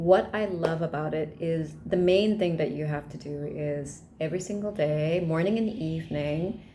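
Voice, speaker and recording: A woman's fairly low voice at a moderate pace, with ordinary pitch variation and audible room echo. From Malaysia. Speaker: vlogger. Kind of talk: casual vlog talk.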